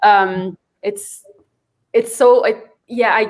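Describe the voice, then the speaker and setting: A woman talks at medium pitch with monotone, flat intonation. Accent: Spanish. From Mexico, Ciudad Juarez. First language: Spanish. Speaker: poet and author. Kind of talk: panel discussion.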